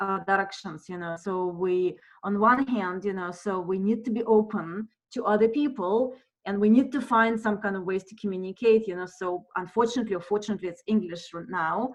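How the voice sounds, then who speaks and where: Talking at a fairly quick pace with a non-native accent, a woman keeps a medium pitch with ordinary pitch variation while her loudness swings widely. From monolingual non-English culture. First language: not English. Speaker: theatre professor. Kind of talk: lecture Q&A. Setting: video call. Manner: halting, many fillers.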